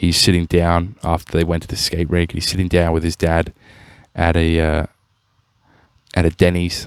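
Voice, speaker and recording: Recorded with a dry, close sound and no echo, a man with an Australian accent speaks at a moderate pace in a very deep, low voice, keeping a monotone, flat intonation and taking long, frequent pauses. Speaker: podcast host. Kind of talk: casual commentary. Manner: halting.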